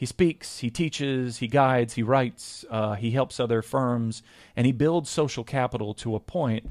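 On a very clean recording with a silent background, a man talks at medium pitch in an ordinary speaking voice. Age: 40s. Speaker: lawyer and conference host. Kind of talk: interview conversation.

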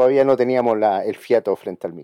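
A man's medium-pitched voice, dark and mellow in tone, at a fairly quick pace, with a dry, close sound, no echo and a quiet background. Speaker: podcast host. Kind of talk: casual chat.

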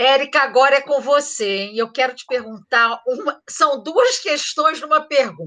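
Raised and projected, a woman's high, bright, sharp voice moves at a fairly slow pace with ordinary pitch variation and big swings in loudness. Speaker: podcast moderator and journalism professor. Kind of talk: moderated panel discussion.

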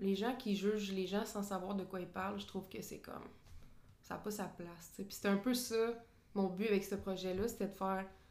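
A woman with a Quebec accent, flat and monotone, with long, frequent pauses and audible room echo. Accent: Québécois French. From Quebec, Drummondville. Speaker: sports photographer. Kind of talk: casual interview.

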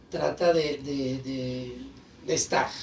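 A man speaks very slowly while noticeable noise runs behind him. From Guadalajara, Mexico. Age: 40s. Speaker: clown and radio presenter. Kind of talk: casual chat. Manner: animated.

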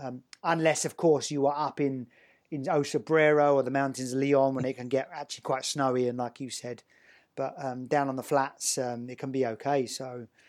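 At a moderate pace, a man speaks at a fairly high pitch in a normal speaking voice. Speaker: podcast host. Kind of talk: scripted intro then casual interview.

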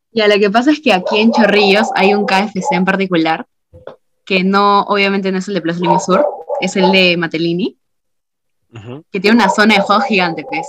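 A woman uses an ordinary speaking voice, keeping a medium pitch with ordinary pitch variation at a moderate pace. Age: 20s. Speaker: student. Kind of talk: casual chat.

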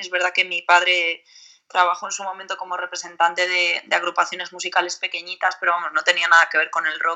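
Against a quiet background, a woman speaks at a medium pitch in a bright, sharp tone. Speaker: metal singer. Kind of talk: interview.

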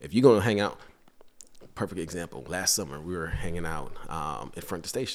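A man with an American accent and a very deep, low pitch talks at a fairly quick pace with lively intonation and vocal fry, with audible room echo. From Guyana, then Brooklyn, New York. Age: 30s. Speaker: fire lieutenant. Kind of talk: casual chat. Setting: at a kitchen table.

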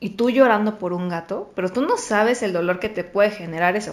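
A woman has an ordinary speaking voice at medium pitch. She talks at a fairly quick pace with ordinary pitch variation. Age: 20s. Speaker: podcast guest sharing anxiety experience. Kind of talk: casual chat.

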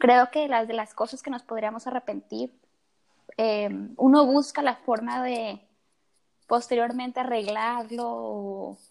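A woman speaks at a fairly high pitch and a very slow pace, her intonation flat and monotone, with long, frequent pauses. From Tabasco, Mexico. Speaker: medical student, podcast co-host. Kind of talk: casual chat. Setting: at home in her room.

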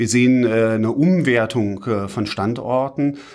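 A man's medium-pitched voice comes through a very clean recording with a silent background. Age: 50s. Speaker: urban development consultant, managing partner. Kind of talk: interview. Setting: studio, sitting face to face. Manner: hesitant, many filler sounds.

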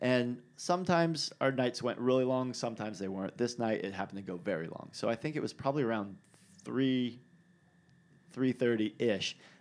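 At a moderate pace, a man with an ordinary speaking voice talks at a medium pitch with ordinary pitch variation. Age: 30s. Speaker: podcast host and bike rider. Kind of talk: casual chat. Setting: studio.

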